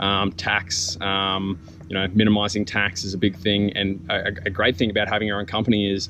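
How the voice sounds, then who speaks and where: Over noticeable background noise, a man with an Australian accent talks at a fairly quick pace in a fairly low pitch. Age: 20s. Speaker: small business owner, vlogger. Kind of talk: casual vlog monologue. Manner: halting, many ums.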